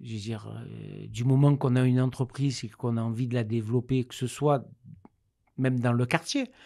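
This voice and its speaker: A man's medium-pitched, dark, mellow tone in a monotone, flat intonation at a moderate pace, with big swings in loudness. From Marseille, southern France. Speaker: director of a digital training company, web developer. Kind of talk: interview. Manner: hesitant, many fillers.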